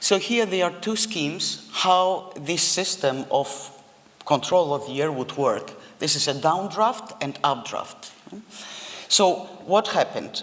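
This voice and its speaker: The speaker has a non-native accent and talks at a fairly slow pace. Noticeable background noise runs underneath. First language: not English. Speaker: architect. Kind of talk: lecture.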